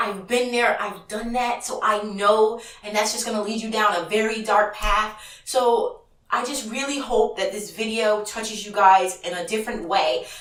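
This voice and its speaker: A woman with a fairly high pitch speaks in an animated tone, her loudness swinging widely. Audible room echo and noticeable background noise fill the recording. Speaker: auto transport broker trainer and vlogger. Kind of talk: casual vlog talk to camera. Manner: fast.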